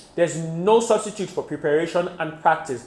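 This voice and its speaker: Fairly quick pace and ordinary pitch variation, with noticeable background noise. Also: man. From Nigeria. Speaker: IELTS tutor. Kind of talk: tutorial.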